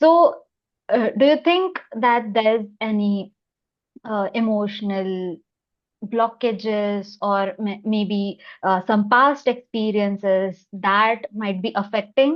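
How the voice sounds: A woman at a medium pitch, slow pace and ordinary pitch variation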